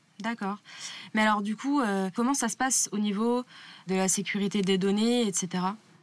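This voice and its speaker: Using very even loudness and fairly even intonation, a woman of medium pitch talks at a moderate pace with long, frequent pauses. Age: 20s. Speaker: railway communications officer interviewing a colleague. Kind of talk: casual interview.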